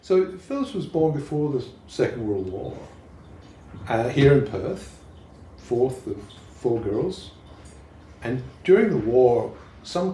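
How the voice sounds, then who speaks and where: Amid audible room echo, a man with a dark, mellow tone and a somewhat breathy voice talks at a moderate pace in very wide pitch swings. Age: 70s. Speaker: poet. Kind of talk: casual chat.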